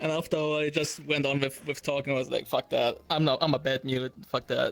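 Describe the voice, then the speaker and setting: Speaking at a very fast pace, a man holds a fairly high pitch with monotone, flat intonation. His loudness stays very even. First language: German. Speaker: VR gamer, interview guest. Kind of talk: casual chat. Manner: halting.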